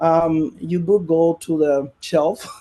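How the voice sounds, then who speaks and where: A man speaks with a Spanish accent. His voice is fairly high in pitch, with a dark, mellow tone. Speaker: poet. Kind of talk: panel discussion. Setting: live-streamed festival panel. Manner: halting, many fillers.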